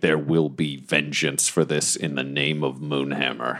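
In a put-on character voice, a man speaks with a very deep, low pitch, moderate pace and monotone, flat intonation. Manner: murderous.

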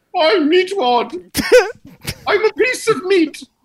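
Someone puts on a character voice at an extremely high pitch and a fairly slow pace. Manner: goofy, cartoonish.

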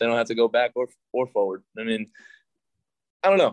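An American-accented man speaks at a fairly quick pace with ordinary pitch variation. The sound is dry and close, with no echo. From New York. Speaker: professional baseball pitcher. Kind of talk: casual chat.

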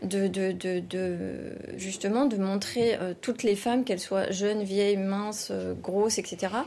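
A woman speaks very slowly at a medium pitch. Her tone is dark and mellow, her intonation fairly even. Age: 40s. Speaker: knitwear fashion designer. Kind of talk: interview. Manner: hesitant, many fillers.

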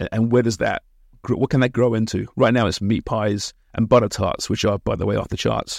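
With an English accent, a man speaks at a fairly quick pace and a medium pitch. His intonation is fairly even, and the sound is dry and close with no echo. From England, Kent. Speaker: soccer broadcaster and podcast host. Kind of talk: interview. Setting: small office beside a studio.

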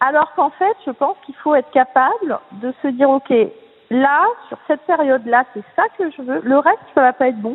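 Her voice is high-pitched, with lively intonation. This woman talks at a moderate pace. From southern France, Nice. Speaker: artistic swimming coach. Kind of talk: interview.

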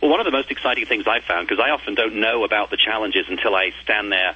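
Noticeable background noise sits behind a man of medium pitch talking at a very fast pace. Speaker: TV design show host. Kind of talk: interview.

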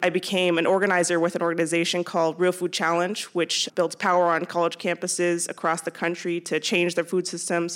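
A woman with a Californian accent talks at a fairly quick pace with hardly any pauses. Her intonation is monotone and flat, and her loudness stays very even. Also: very clean recording, silent background. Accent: Californian American. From California, San Jose. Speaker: food systems coordinator. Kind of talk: panel discussion. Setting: stage with audience at a high school.

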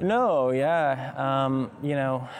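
Music plays in the background under fairly even intonation. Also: man. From Alabama, Mountain Brook. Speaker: son of a senator. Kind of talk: interview. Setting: outdoors.

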